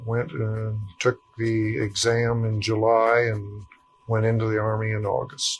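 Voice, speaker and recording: Speaking very slowly in a Midwestern US accent, a man keeps his intonation monotone and flat. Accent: US Midwest. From rural Ohio. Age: 60s. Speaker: war veteran. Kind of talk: oral history interview. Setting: at his home.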